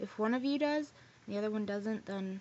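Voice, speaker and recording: A woman with a plain, everyday voice, a fairly high pitch, ordinary pitch variation and a moderate pace. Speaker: vlogger. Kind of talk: casual vlog storytelling. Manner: rambling casual, many fillers.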